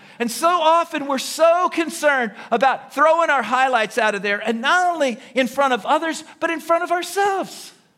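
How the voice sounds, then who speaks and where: Shouting at an extremely high pitch, a man speaks with lively intonation. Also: moderate pace, hardly any pauses. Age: 60s. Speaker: pastor. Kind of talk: sermon. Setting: church service with live audience.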